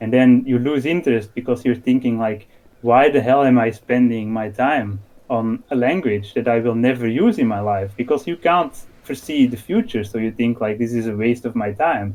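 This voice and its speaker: A man with a Dutch accent at a medium pitch, moderate pace and ordinary pitch variation. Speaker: podcast guest, discord moderator. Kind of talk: casual conversation.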